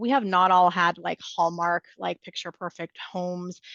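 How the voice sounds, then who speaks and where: A woman speaks in a bright, sharp tone. The sound is dry and close, without echo. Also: quiet background. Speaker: real estate investor. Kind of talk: interview. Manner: talkative.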